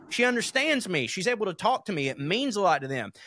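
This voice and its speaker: Over a very clean recording with a silent background and a dry, close sound with no echo, a man speaks at a fairly quick pace. His tone is bright and sharp, and his intonation is lively. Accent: Southern US. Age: 30s. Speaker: podcast co-host. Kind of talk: casual chat.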